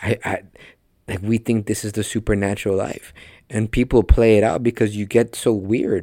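A man's dark, mellow, fairly low voice with a Spanish accent at a moderate pace, dry and close with no echo, on a very clean recording with a silent background. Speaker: podcast host and preacher. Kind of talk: sermon. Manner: animated.

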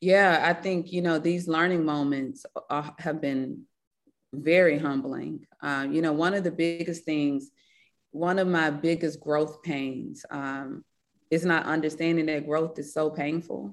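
Against a quiet background, a woman with a Mississippi accent speaks at a very deep, low pitch, keeping a fairly slow pace and fairly even intonation. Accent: Mississippi Southern. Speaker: business founder and CEO. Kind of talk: casual interview conversation.

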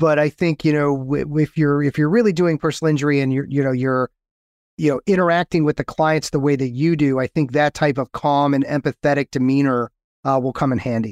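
In a plain, everyday voice, a man talks at a fairly quick pace with fairly even intonation and very even loudness, the sound dry and close with no echo over a quiet background. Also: fairly high pitch for a man. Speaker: podcast host and lawyer coach. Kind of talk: casual interview chat.

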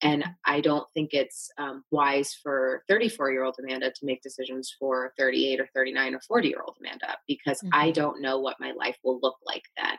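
A woman with a very deep, low pitch speaks with hardly any pauses and ordinary pitch variation. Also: moderate pace. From US Midwest. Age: 30s. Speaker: marketing executive. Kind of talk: casual interview chat.

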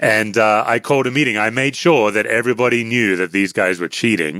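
A man with an Australian accent speaks at a moderate pace in a bright, sharp tone and a fairly low pitch. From Western Australia (Perth). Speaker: author and former pastor, anxiety teacher. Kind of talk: interview conversation.

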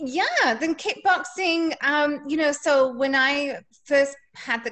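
In an English accent, a woman speaks with a bright, sharp tone. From England. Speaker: fitness instructor. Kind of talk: interview.

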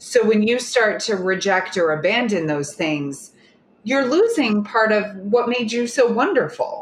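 A woman with an American accent and a plain, everyday voice, fairly high in pitch, with lively intonation at a fairly slow pace. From Oklahoma. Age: 30s. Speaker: dating coach. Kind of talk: casual chat.

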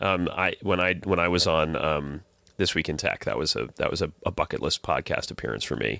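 A man speaks at a fairly quick pace with a very deep, low pitch, a bright, sharp tone and vocal fry, in a dry, close sound with no echo. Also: ordinary pitch variation, very clean recording, silent background. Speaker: podcast host. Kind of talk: casual chat.

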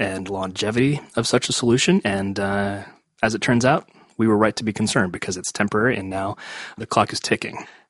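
With a plain, everyday voice, a man talks at a fairly quick pace and fairly low pitch with ordinary pitch variation, in a dry, close sound with no echo. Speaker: podcast host. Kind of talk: interview conversation.

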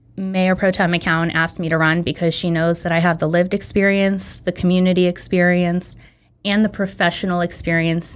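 The speaker is a woman with a Californian accent. Her pitch is fairly low and her intonation monotone and flat. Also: very clean recording, silent background. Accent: General American (California). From San Francisco Bay Area, California. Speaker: city council candidate. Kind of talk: interview.

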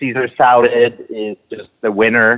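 A man's plain, everyday voice, medium in pitch, with fairly even intonation. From Quebec City, Canada. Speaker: restaurant owner. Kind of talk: interview.

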